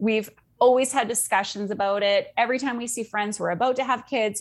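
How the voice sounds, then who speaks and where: With a Canadian accent and a plain, everyday voice, a woman speaks at a fairly quick pace and fairly high pitch on a very clean recording with a silent background. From Canada. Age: 40s. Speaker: life coach. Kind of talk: casual interview chat.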